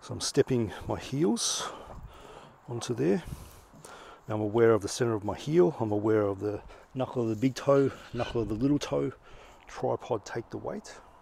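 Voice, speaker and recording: A man speaks with long, frequent pauses and ordinary pitch variation, the sound dry with no echo. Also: moderate pace. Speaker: fitness coach. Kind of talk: tutorial. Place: garden.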